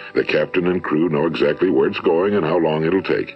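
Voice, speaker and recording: A man is talking. Background music plays behind him. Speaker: motivational speaker. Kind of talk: motivational speech recording.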